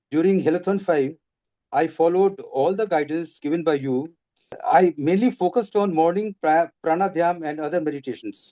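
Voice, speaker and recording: A man speaks in a high-pitched voice with a dark, mellow tone. The sound is dry and close with no echo, over a quiet background. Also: ordinary pitch variation, moderate pace. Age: 70s. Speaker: retiree sharing health testimony. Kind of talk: testimony. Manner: halting.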